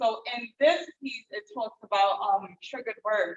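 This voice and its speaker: A woman with a New York accent speaks in a dry, close sound with no echo. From New York, Bronx. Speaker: visual artist. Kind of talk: panel discussion. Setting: gallery with live audience and Zoom.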